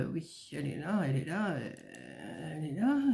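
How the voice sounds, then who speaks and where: Against a quiet background, a woman talks very slowly. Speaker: vlogger. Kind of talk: casual chat. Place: home room. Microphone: webcam.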